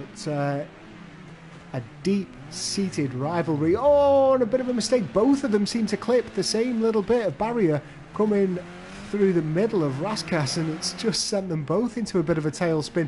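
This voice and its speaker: A high-pitched man's voice at a moderate pace, with very wide pitch swings. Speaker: sim-racing commentator. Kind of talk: live race commentary. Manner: reacts to crashes as they happen.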